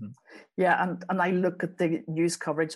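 With a Belfast accent, a woman talks at a moderate pace in a fairly low pitch with fairly even intonation against a quiet background. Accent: Belfast Northern Irish. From Northern Ireland, west Belfast. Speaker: journalist and author. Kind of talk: interview.

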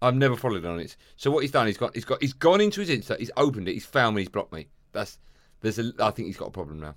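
A man's medium-pitched voice with vocal fry, very wide pitch swings, big swings in loudness and a very fast pace. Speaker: podcast host, broadcaster. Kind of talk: casual chat. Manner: switches to big podcast voice for intros.

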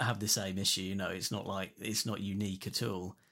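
This is a man's voice. He speaks in an English accent. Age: 40s. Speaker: guitarist. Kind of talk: casual chat. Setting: remote call.

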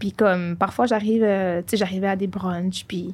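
Ordinary pitch variation in a woman's dark, mellow tone. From Montreal, Quebec. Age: 20s. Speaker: podcast co-host. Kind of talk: casual chat.

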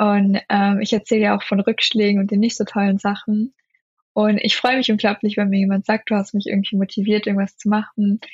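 A woman speaks at a fairly quick pace with very even loudness. Her voice is somewhat breathy, and her intonation is fairly even. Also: medium pitch for a woman. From Germany. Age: 20s. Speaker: law student and video creator. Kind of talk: interview. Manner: hesitant, many filler sounds.

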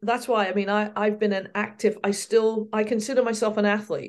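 A woman with an American accent speaks in a monotone with flat intonation. Her voice is fairly high, at a moderate pace. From southern England. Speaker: field hockey coach. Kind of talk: casual interview chat.

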